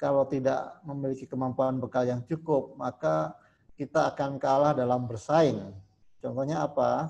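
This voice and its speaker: A man's dark, mellow voice at a moderate pace, with ordinary pitch variation. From Jember, East Java. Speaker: school administrator. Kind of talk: formal speech. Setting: video call. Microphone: video call.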